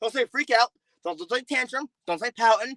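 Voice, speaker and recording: An extremely high-pitched man's raised, projected voice, bright and sharp in tone, with lively intonation and a dry, close sound free of echo. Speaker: streamer. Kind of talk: heated debate. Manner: loud.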